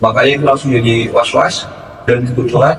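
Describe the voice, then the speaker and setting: Noticeable background noise fills the clip. Over it, a man speaks at a very fast pace. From West Java (Kuningan), Sundanese. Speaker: student union president. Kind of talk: casual interview. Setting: studio podcast. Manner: hesitant, many fillers.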